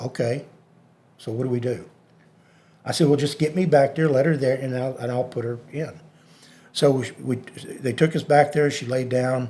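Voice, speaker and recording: A man speaks in a Texan accent at a medium pitch, his tone dark, mellow and somewhat breathy. His intonation stays fairly even, broken by long, frequent pauses. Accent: Texan American. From Texas, Dallas area. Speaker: hypnotist. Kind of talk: interview storytelling.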